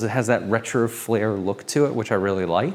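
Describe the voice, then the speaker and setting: In an animated tone, a man speaks at a fairly quick pace. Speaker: realtor. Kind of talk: home tour walkthrough. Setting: walking tour of a clubhouse.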